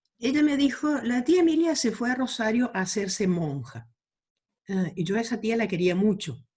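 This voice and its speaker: A woman's voice has a dark, mellow tone and is somewhat breathy. Her pitch swings very widely. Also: fairly high pitch for a woman, moderate pace. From Argentina, Chaco (rural Quitilipi). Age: 70s. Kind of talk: interview.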